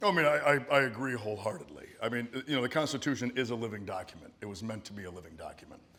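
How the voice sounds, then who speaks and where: The speaker talks very fast with hardly any pauses, lively intonation and big swings in loudness. Noticeable noise sits in the background. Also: man, medium pitch for a man. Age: 40s. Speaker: political candidate. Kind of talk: town hall Q&A answer. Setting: town hall hall with audience, microphone.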